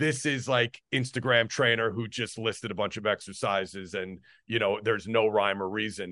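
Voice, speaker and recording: With an American accent, a man has a plain, everyday voice, fairly low in pitch, talking at a moderate pace with fairly even intonation. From US Northeast, New Jersey. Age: 40s. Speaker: strength and conditioning coach. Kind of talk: podcast interview.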